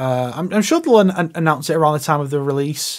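A man speaks very fast in an animated, excited tone, his pitch fairly high with ordinary variation. The background is quiet. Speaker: gaming YouTuber. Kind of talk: trailer reaction commentary. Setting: recording early morning at home. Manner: animated, excited reactions.

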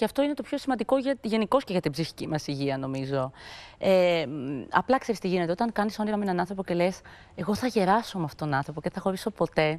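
The pitch swings very widely. Delivery comes at a very fast pace. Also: woman. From Greece. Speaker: TV talk show host. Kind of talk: talk show interview. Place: studio. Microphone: lapel.

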